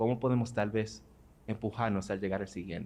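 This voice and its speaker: Speaking at a very fast pace, a man keeps his fairly low-pitched voice in a fairly even intonation. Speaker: audience member asking a question. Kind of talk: audience question at a conference. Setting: auditorium. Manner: code-switching Spanish and English.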